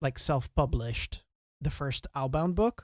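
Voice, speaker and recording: A man with an American accent speaks at a fairly high pitch. The recording is very clean, with a silent background and a dry, close sound with no echo. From Belgium, East Flanders. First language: Dutch. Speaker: author and streamer. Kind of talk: casual chat. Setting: live stream.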